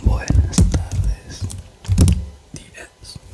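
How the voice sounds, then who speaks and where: Whispered words come very slowly amid noticeable background noise. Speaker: ASMR creator. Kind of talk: ASMR reading of philosophy text for sleep. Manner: soft-spoken, relaxing.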